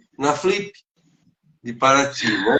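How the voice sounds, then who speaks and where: With ordinary pitch variation, a man talks in a fairly high register. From São Paulo state, Brazil. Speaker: teacher and author. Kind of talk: interview. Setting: online live stream. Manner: halting.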